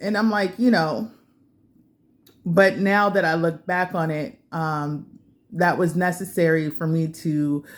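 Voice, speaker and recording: Fairly low-pitched woman's voice at a fairly slow pace, with ordinary pitch variation, on a very clean recording against a silent background. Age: 40s. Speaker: vlogger. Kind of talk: casual monologue vlog. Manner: hesitant, many fillers.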